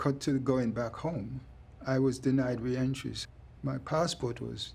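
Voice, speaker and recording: Speaking at a fairly slow pace, a man with a medium-pitched voice shows vocal fry. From England, East London. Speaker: deportee. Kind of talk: documentary interview.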